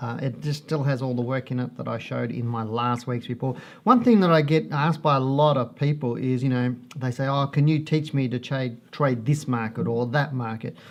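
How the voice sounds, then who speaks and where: This man has an Australian accent, a medium pitch and fairly even intonation, and he speaks at a fairly quick pace. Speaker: stock market analyst. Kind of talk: market report presentation. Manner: slightly halting when reading charts.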